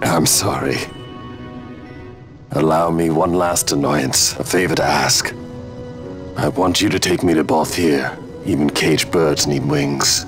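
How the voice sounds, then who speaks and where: Over clear background music, a man with a very deep, low pitch speaks at a fairly slow pace in a cartoonish character voice. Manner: grave, measured.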